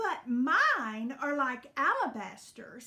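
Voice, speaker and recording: A woman drawls in a put-on character voice. Her pitch is high and her pace is very slow. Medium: read story. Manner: slow drawl, haughty.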